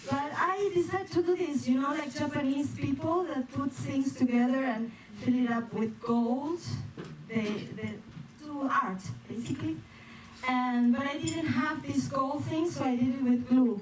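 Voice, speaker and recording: A woman's high-pitched voice with a Spanish accent and ordinary pitch variation, at a fairly slow pace, with audible room echo and noticeable background noise. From Spain. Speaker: performer, dancer and stand-up comedian. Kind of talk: stand-up. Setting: stage with audience. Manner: halting, with self-corrections.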